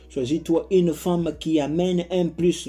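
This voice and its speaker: A man with a non-native accent has a dark, mellow tone, a fairly high pitch, and fairly even intonation. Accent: non-native French, self-conscious. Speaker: advice YouTuber. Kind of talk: casual monologue. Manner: halting, repeats words.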